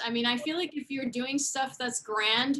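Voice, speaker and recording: A woman's high-pitched voice is raised and projected, with a bright, sharp tone. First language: not English. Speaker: chiropractor and practice coach. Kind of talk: interview.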